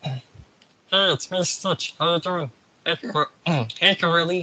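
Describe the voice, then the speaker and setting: A man's high-pitched put-on character voice at a fairly slow pace. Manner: cute, playful.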